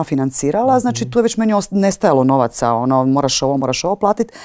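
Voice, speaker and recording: Very fast speech comes from a woman with a dark, mellow tone. Her pitch swings very widely over a quiet background. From eastern Croatia (Slavonia), childhood partly in Switzerland; Croatia. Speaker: stage and screen actress; screen actress. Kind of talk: interview. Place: hall. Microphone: lapel.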